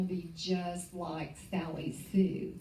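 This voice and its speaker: A woman is speaking amid noticeable background noise. Room echo is audible. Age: 70s. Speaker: real estate business leader. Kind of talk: motivational talk. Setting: stage with audience. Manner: animated.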